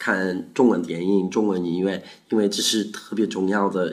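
A man's very deep, low voice with a South African accent, fairly slow in pace and fairly even in intonation. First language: Afrikaans (speaking Chinese). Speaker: university student. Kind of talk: interview answers. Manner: halting in Chinese.

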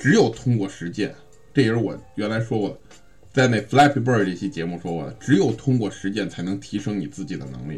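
A man with a fairly low pitch and vocal fry speaks at a fairly quick pace with lively intonation. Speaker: sales coaching podcast host. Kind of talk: instructional monologue. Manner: casual with many fillers.

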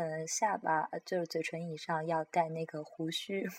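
This woman's voice comes through dry and close, with no echo. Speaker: podcast host sharing opera and crosstalk recordings. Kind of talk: casual solo talk. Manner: halting, many fillers.

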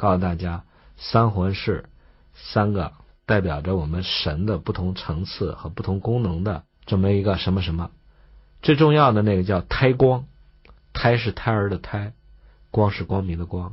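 A man speaks with a fairly low pitch and ordinary pitch variation, sounding somewhat breathy. He leaves long, frequent pauses. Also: moderate pace. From China. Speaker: traditional Chinese medicine teacher. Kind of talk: lecture.

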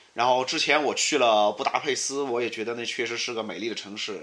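With a fairly quick delivery, a man talks in a mid-range pitch that varies in an ordinary way. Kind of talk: casual chat. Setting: friends' apartment at night.

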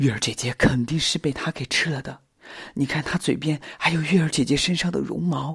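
A man puts on a character voice with a husky, rough edge and a fairly bright tone. He speaks quietly at a fairly quick pace. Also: fairly high pitch for a man, ordinary pitch variation.

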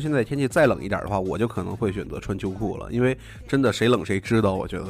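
A man's very fast speech with vocal fry and lively intonation. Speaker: podcast host. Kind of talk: casual chat. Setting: studio.

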